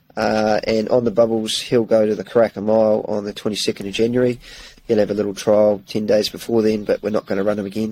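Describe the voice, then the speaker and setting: A man's fairly low, dark, mellow voice in a New Zealand accent, very fast and flat in a monotone. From New Zealand, South Island. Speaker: racehorse trainer. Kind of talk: interview. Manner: halting, many fillers.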